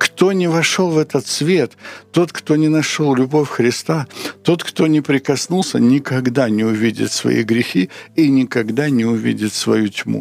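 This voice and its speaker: Amid noticeable background noise, a man with a medium pitch speaks at a fairly slow pace, keeping very even loudness and lively intonation. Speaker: Bible teacher answering questions. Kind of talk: sermon-like Bible teaching.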